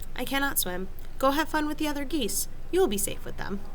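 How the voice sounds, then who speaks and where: A woman performs a put-on character voice at a very fast pace. Clear background noise is present. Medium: read story. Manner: plain, formal, no contractions.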